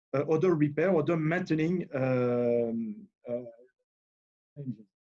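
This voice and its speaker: Speaking fairly slowly with a French accent, a man uses a dark, mellow tone at a fairly high pitch, with ordinary pitch variation. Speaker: engineer presenting at a webinar. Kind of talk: technical presentation. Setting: video call. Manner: halting, many fillers.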